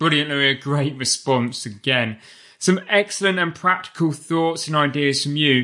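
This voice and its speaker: A bright, sharp tone against a quiet background. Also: man, fairly high pitch for a man, ordinary pitch variation, moderate pace. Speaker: podcast host. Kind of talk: interview.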